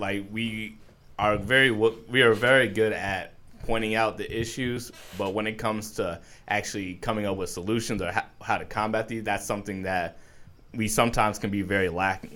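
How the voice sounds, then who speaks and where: With an American accent, a man speaks at a moderate pace in an ordinary speaking voice, his pitch fairly low and his intonation fairly even. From New York. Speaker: artist. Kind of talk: casual chat.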